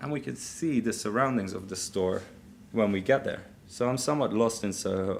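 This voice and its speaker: A man's fairly low-pitched voice at a fairly quick pace, with audible room echo. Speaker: business executive, keynote speaker. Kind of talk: keynote speech with live demo. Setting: conference stage with audience.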